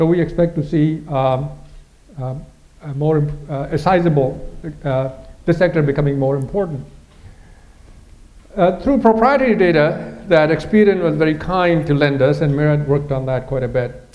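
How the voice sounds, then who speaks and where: A man speaks at a fairly high pitch with long, frequent pauses. Audible room echo surrounds his voice. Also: ordinary pitch variation. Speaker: economist presenting a forecast. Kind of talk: presentation to an audience. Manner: fast; halting, many fillers.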